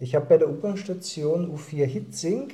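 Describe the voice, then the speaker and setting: Through audible room echo, a man's somewhat breathy voice carries a dark, mellow tone and ordinary pitch variation. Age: 40s. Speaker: district councillor and local politician. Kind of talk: casual interview. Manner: halting, repeats words and uses fillers.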